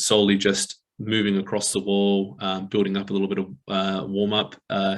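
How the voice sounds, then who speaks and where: A mumbling man with an Australian accent and a fairly low pitch. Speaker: exercise physiologist. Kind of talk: webinar presentation. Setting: online webinar.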